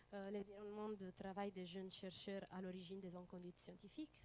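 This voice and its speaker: In an Italian accent, a woman speaks at a medium pitch with a dark, mellow tone and monotone, flat intonation. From Italy. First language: Italian (speaking French). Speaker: student researcher. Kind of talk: conference presentation. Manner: halting, many hesitations.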